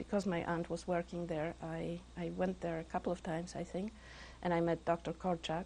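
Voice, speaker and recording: Monotone, flat intonation from a woman with a fairly low pitch and vocal fry, at a moderate pace. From Poland. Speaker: Holocaust survivor. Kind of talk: interview answer.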